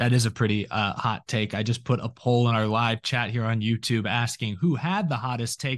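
A man's ordinary speaking voice, medium in pitch, at a moderate pace with fairly even intonation against a quiet background. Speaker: podcast host. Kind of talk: casual panel chat about NASCAR.

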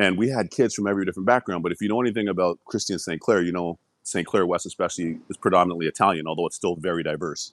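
With a Toronto accent, a man talks at a very fast pace with hardly any pauses, using a very deep, low pitch and ordinary pitch variation, in a very clean recording with a silent background and a dry, close sound with no echo. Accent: Canadian (Toronto). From Toronto, Canada. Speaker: former hockey player. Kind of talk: interview.

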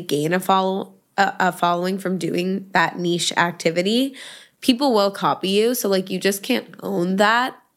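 A woman's plain, everyday voice with an American accent, medium pitch, ordinary pitch variation and a moderate pace. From New York City. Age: 20s. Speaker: influencer. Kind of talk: casual chat. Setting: studio.

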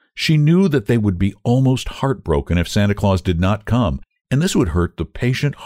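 Nothing can be heard in the background. The text is read out in a natural-sounding voice.

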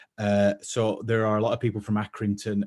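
With a Lancashire accent, a man speaks at a fairly quick pace in a fairly low voice with fairly even intonation, the sound dry and close with no echo. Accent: northern English (Lancashire). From northern England; East Lancashire. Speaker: fashion creator and shop founder. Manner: hesitant, many filler words and repeats; self-deprecating, waffling.

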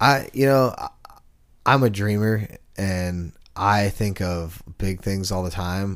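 A man at a very slow pace and fairly low pitch, ordinary pitch variation, in a very clean recording with a silent background. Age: 30s. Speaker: co-host and musician. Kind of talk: casual chat.

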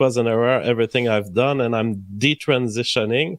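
In a plain, everyday voice, the speaker keeps a moderate pace and ordinary pitch variation, with a dry, close sound and no echo. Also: man. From Canada. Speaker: YouTube streamer.

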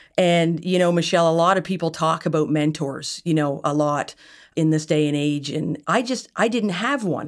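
A woman's very deep, low voice in a Nova Scotia accent, on a very clean recording with a silent background. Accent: Atlantic Canadian (Nova Scotia). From Nova Scotia, Yarmouth. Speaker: entrepreneur, company founder. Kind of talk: casual interview conversation.

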